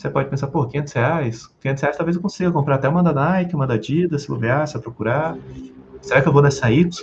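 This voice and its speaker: A man talks at a very fast pace with hardly any pauses. His voice is fairly high, with vocal fry and ordinary pitch variation. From Brazil, Rio de Janeiro. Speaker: sales and communication trainer. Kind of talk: podcast interview. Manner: animated.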